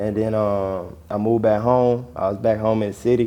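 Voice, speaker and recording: A man with an Atlanta accent talks at a fairly low pitch in monotone, flat intonation. There is audible room echo. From Georgia, US South (Barnesville, near Atlanta). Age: 20s. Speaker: rapper. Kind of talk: casual interview.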